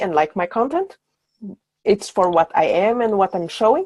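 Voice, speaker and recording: A woman speaks with a Portuguese accent at a medium pitch. The sound is dry and close, with no echo. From Brazil, Sao Paulo. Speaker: brand designer. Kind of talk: podcast interview. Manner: halting.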